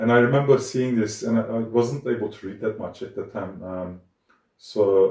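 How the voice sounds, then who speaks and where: This man talks with a Turkish accent. His tone is dark and mellow, and somewhat breathy. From Turkey. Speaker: academic cartoonist and musician. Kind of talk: interview. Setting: art studio. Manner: hesitant, many fillers.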